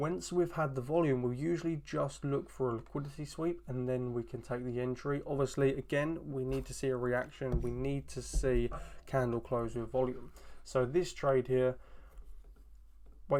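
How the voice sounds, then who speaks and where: A man with an ordinary speaking voice talks at a moderate pace and medium pitch, his intonation fairly even. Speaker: trading educator. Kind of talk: tutorial.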